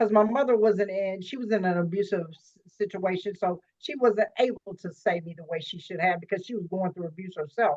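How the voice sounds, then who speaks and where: A woman talks at a fairly quick pace with hardly any pauses, in a normal speaking voice. Her pitch is medium with ordinary variation, and her loudness swings a lot. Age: 50s. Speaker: life coach. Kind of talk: interview.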